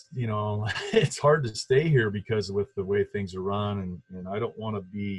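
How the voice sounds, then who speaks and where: At a moderate pace, a man with an American accent talks in a fairly low, somewhat breathy voice with ordinary pitch variation. His loudness swings widely. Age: 50s. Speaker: former college basketball player. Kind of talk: casual interview. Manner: halting.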